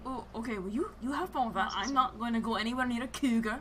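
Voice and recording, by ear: A woman talks very fast at a fairly high pitch. There is noticeable background noise. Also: ordinary pitch variation.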